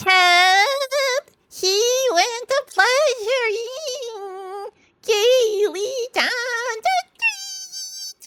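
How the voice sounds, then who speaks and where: In a put-on character voice that is squeaky and extremely high in pitch, the speaker moves at a very slow pace with long, frequent pauses. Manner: mocking.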